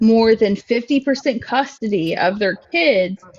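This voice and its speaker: Over music in the background, a woman speaks with lively intonation at a fairly high pitch. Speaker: caller in a live stream debate, single mother. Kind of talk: heated debate. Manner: loud.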